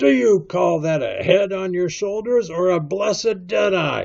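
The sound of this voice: Using a put-on character voice, a man speaks fairly slowly in a high pitch, with vocal fry and a slightly mellow tone. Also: lively intonation.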